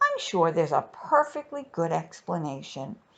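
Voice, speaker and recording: Using a put-on character voice, a woman speaks in a fairly low pitch at a moderate pace. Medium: read story. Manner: calm, sighing.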